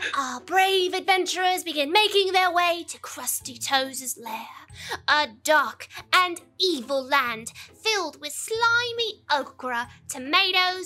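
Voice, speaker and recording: In a put-on character voice, a female-sounding speaker talks at an extremely high pitch and a fairly slow pace. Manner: grand, storytelling.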